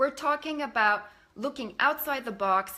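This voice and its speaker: With a bright, sharp tone and lively intonation, a woman speaks at a moderate pace. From Canada. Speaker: life coach. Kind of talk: live stream presentation. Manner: casual, many filler words.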